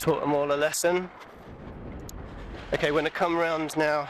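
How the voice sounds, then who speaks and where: A man's voice at a moderate pace. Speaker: vlogger. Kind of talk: walking tour commentary. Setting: outdoors. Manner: quiet; casual.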